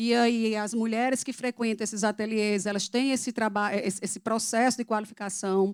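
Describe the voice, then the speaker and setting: In a Paraíba accent, a woman talks at a moderate pace and fairly high pitch. The recording is very clean and the background silent. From Paraíba, northeastern Brazil. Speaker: public program coordinator, speaker. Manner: halting.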